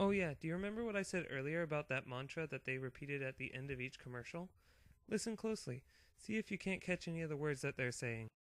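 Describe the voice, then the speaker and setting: The man talks at a very fast pace, his fairly high pitch rising and falling in lively intonation. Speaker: student presenter. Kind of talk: class presentation narration.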